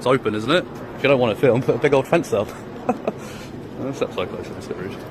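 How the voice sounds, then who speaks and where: Against noticeable background noise, a man of medium pitch talks at a very fast pace with ordinary pitch variation. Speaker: auditor filming police. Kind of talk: confrontational street exchange. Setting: outdoors on public footpath.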